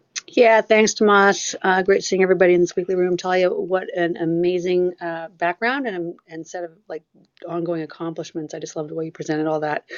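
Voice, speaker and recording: A woman talks fairly quickly with fairly even intonation, her pitch fairly low. She has an unremarkable speaking voice. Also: big swings in loudness. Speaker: privacy attorney. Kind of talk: audience question. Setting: audio chat room.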